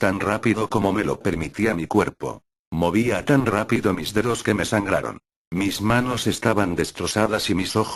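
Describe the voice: The delivery is plain reading aloud with ordinary pitch variation. The background is quiet.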